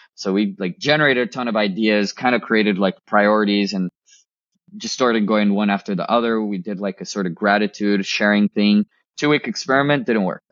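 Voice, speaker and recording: A man's fairly low voice at a fairly quick pace. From Texas (McAllen, Rio Grande Valley), born in Colombia. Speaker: startup founder. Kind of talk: interview. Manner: animated.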